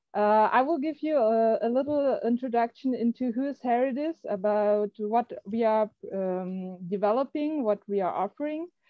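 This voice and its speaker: At a fairly slow pace, a woman with a German accent speaks at a fairly high pitch with ordinary pitch variation. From Germany. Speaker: software company representative. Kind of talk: online presentation. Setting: video call. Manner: halting, many fillers.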